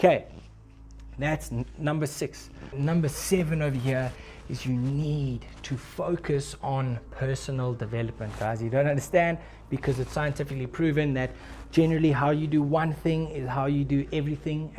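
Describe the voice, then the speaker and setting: A man talks at a moderate pace, his dark, mellow tone somewhat breathy and his intonation fairly even. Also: fairly high pitch for a man. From South Africa. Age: 20s. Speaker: forex trader. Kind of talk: casual talk to camera.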